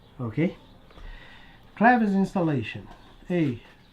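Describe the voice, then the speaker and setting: A non-native accent colors this speech. It unfolds fairly slowly. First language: not English. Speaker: RC model hobbyist YouTuber. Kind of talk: casual build tutorial. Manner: chatty, talking to himself while working.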